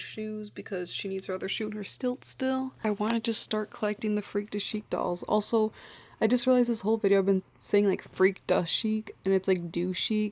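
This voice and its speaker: In a very clean recording with a silent background, a woman with a Midwestern accent speaks at a medium pitch with fairly even intonation. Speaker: doll collector YouTuber. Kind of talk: casual vlog talk to camera. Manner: casual, lots of filler like.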